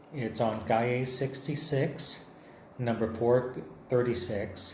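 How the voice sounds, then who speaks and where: A man with an American accent at a medium pitch, very slow and fairly even in intonation, with audible room echo and noticeable background noise. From Texas, near San Antonio. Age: 60s. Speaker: artist. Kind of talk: lecture. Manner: conversational.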